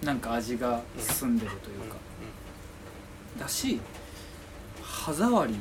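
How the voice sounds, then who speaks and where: There is noticeable background noise and audible room echo. A man talks at a medium pitch with ordinary pitch variation. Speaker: podcast co-host. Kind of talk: casual chat. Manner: soft-spoken; not crisp or loud.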